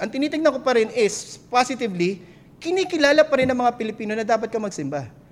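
A man's extremely high-pitched, very fast speech with lively intonation and noticeable background noise. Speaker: pastor. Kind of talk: sermon.

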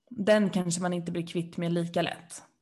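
Vocal fry colors this fairly slow speech, which carries audible room echo. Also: woman. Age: 20s. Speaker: podcast co-host. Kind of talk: casual chat. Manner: animated.

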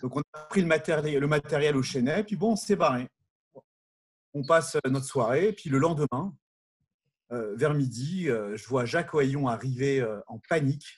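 A man with a fairly high pitch and a somewhat breathy voice speaks at a fairly slow pace. His pitch variation is ordinary, and he takes long, frequent pauses. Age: 40s. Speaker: former summer camp counselor. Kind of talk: casual chat.

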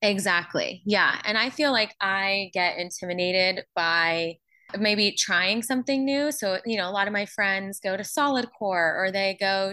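A bright, sharp voice with an American accent and ordinary pitch variation is heard over a quiet background. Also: woman. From Pittsburgh area, Pennsylvania. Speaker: small business owner. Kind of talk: interview.

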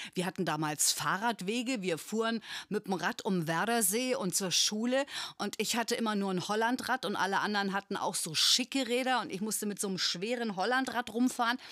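A woman uses an ordinary speaking voice at a fairly high pitch and a fairly quick pace, with ordinary pitch variation, on a very clean recording with a silent background and a dry, close sound with no echo. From northern Germany (Bremen). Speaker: podcast host. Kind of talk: interview.

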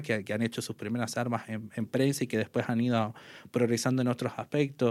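In a flat monotone, a man with a medium-pitched voice talks at a moderate pace on a very clean recording with a silent background. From northern Argentina, Salta province. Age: 30s. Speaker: sports journalist and radio commentator. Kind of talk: casual interview.

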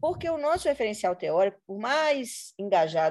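A woman's dark, mellow tone with very wide pitch swings, on a very clean recording with a silent background. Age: 40s. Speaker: education professor. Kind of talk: interview conversation. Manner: hesitant fillers.

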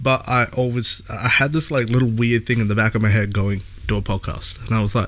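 Very fast speech comes from a man with a medium pitch. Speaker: podcast co-host. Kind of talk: casual chat. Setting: outdoors on a patio.

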